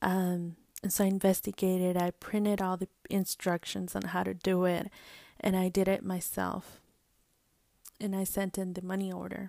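In a very clean recording with a silent background, a woman with an American accent speaks at a medium pitch and moderate pace, monotone and flat, with long, frequent pauses. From US, brought from Mexico at age two. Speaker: podcast host. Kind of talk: personal storytelling monologue. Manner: hesitant, many fillers.

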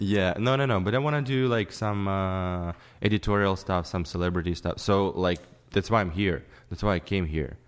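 Male speech with a Ukrainian accent at a moderate pace, ordinary pitch variation, and a quiet background. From Ukraine. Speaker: photographer. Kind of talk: casual chat. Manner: halting.

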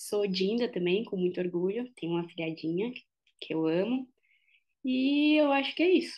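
A woman at medium pitch and moderate pace, with very wide pitch swings. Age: 30s. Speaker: operations head at a social-impact coding school. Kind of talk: interview. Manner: hesitant, many fillers.

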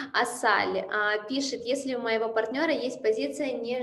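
A fairly high-pitched woman over noticeable background noise. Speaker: webinar moderator. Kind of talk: moderating live Q&A. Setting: video call. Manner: polite, formal.

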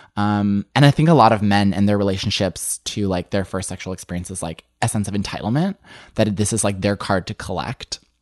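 A man with an American accent talks at a fairly quick pace. The sound is dry and close, with no echo. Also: ordinary pitch variation. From US Midwest, suburban Illinois. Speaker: writer and podcast co-host. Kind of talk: interview conversation.

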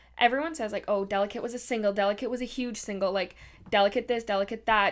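A woman's fairly high voice in a very clean recording with a silent background. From Canada. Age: 20s. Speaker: podcast host. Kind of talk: casual chat.

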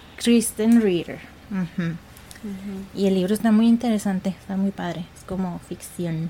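Against noticeable background noise, a woman talks at a fairly slow pace and medium pitch with fairly even intonation. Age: 30s. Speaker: podcast host, architect. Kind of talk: casual chat.

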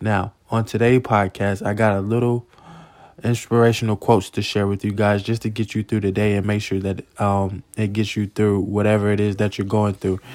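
In a plain, everyday voice, a man speaks at a moderate pace with fairly low pitch, on a very clean recording with a silent background and a dry, close sound with no echo. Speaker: podcast host and motivational speaker. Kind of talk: motivational pep talk, upbeat and sincere, with faith-based encouragement. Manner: warm, earnest and encouraging, direct address to listeners.

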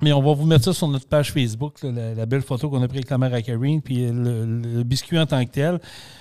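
A man's dark, mellow voice at medium pitch, very fast with hardly any pauses and fairly even intonation, in a very clean recording over a silent background. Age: 50s. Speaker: podcast host. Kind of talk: casual chat.

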